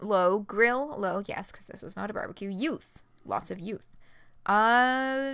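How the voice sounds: The voice reads naturally. Pitch shifts an ordinary amount.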